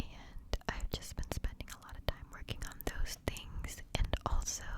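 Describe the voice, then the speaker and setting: Whispering over noticeable background noise, a woman speaks breathily at a fairly slow pace, her loudness swinging widely. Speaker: ASMR creator. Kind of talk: ASMR whisper ramble to camera. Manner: whispered, breathy.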